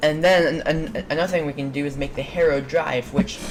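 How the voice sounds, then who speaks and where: Noticeable background noise surrounds a woman with a very deep, low voice who speaks fairly quickly with fairly even intonation. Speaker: video game mod creator. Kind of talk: tutorial. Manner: fast; halting.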